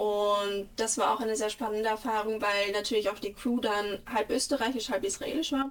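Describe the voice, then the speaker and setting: A woman talks at a moderate pace in an ordinary speaking voice, fairly high in pitch with fairly even intonation. Her loudness is very even and there are hardly any pauses. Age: 20s. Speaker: actress. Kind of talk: interview.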